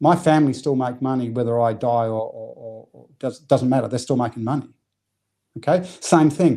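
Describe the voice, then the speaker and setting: A man's medium-pitched voice with a slight New Zealand accent, a dark, mellow tone, big swings in loudness and a moderate pace. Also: ordinary pitch variation. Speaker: business coach. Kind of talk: podcast interview. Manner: animated, repetitive false starts.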